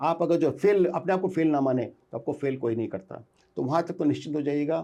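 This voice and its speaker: Against a quiet background, a man with a dark, mellow tone and vocal fry speaks at a moderate pace, with ordinary pitch variation. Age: 60s. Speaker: entrepreneur. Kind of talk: interview. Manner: animated.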